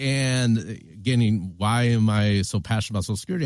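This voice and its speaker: A man is speaking. He has a Michigan accent. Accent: General American, Michigan. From US Midwest, Flint, Michigan. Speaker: founder of a retirement risk tool. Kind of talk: interview.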